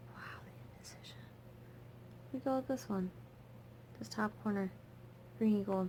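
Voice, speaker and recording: Mumbling at a moderate pace, a woman with a medium pitch and a dark, mellow, somewhat breathy tone makes very wide pitch swings and big swings in loudness, leaving long, frequent pauses. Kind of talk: casual talk to camera while doing makeup. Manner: mumbling, chill, rambling.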